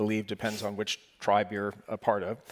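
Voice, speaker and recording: A plain, everyday voice with an American accent comes through dry and close, with no echo. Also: man. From United States. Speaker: panel moderator. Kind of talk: panel discussion.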